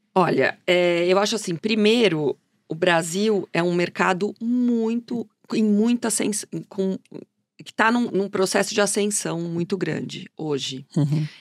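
Here is a woman with an unremarkable speaking voice, medium in pitch with ordinary pitch variation. She talks at a fairly slow pace, and the sound is dry and close with no echo. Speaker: fashion journalist and consultant. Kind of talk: interview.

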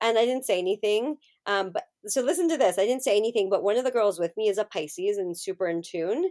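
Lively intonation and a fairly quick pace from a woman with a medium pitch and an American accent, in a dry, close sound with no echo. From California. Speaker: astrologer and spiritual guide. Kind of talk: casual chat. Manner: animated.

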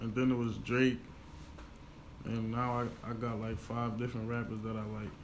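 The speaker has an American accent and a monotone, flat intonation. Long, frequent pauses break up the speech, and room echo is audible. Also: man, medium pitch for a man, moderate pace. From Pennsylvania, Chester. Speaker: rapper. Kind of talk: interview. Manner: hesitant, many fillers.

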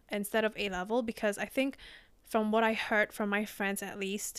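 At a moderate pace, a woman speaks at a medium pitch with a monotone, flat intonation in a very clean recording with a silent background. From Indonesia. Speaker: podcast host. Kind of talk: casual interview.

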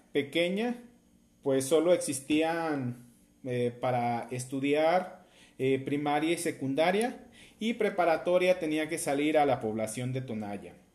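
Speaking fairly slowly, a man with a fairly high voice uses lively intonation. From Mexico, southern Jalisco. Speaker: podcast host. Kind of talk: motivational monologue. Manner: hesitant, many fillers.

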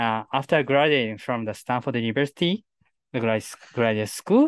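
A man with a Japanese accent speaks in a dry, close sound with no echo over a quiet background. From Japan, Kochi prefecture. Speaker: space engineer. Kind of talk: interview. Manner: halting.

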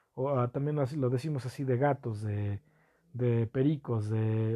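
A man with a Mexican accent and a dark, mellow tone speaks at a very slow pace against a quiet background. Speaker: podcast host. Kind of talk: casual monologue. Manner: hesitant, many fillers.

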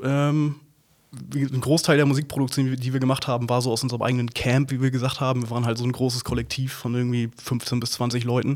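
A man talks at a very fast pace and medium pitch. His intonation is monotone and flat. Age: 30s. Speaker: film editor and motion designer. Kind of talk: casual interview. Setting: studio, sitting face to face. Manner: halting, many fillers.

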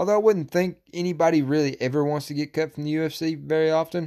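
A man's fairly high-pitched, normal speaking voice at a fairly quick pace, on a very clean recording with a silent background. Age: 20s. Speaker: MMA podcast host. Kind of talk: casual solo podcast monologue. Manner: casual, profane, opinionated.

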